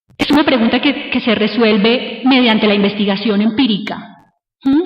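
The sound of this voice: At a moderate pace, a woman speaks with ordinary pitch variation amid audible room echo.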